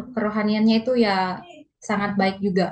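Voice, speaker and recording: A woman with a Manado accent and a fairly high pitch, talking at a very slow pace. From Manado, North Sulawesi, Indonesia. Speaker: church member giving testimony. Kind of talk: testimony. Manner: halting, many fillers.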